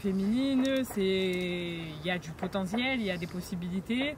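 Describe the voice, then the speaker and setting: A woman speaks at medium pitch with lively intonation. Noticeable noise runs in the background. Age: 20s. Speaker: MMA fighter. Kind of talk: casual interview.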